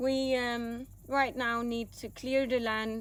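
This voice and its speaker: With a Danish accent, a woman speaks at a very slow pace. Her pitch is fairly high, with ordinary variation. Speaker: vlogger. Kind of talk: casual chat.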